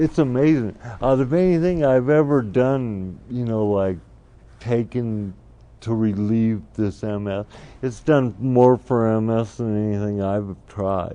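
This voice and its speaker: A man with an ordinary speaking voice, medium pitch and ordinary pitch variation speaks at a fairly slow pace. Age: 60s. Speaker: multiple sclerosis patient. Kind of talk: interview answer.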